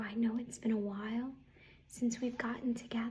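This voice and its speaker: A woman's fairly high, somewhat breathy voice with a dark, mellow tone and monotone, flat intonation. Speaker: ASMR artist. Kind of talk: ASMR roleplay, soft-spoken. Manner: soft-spoken, friendly, welcoming.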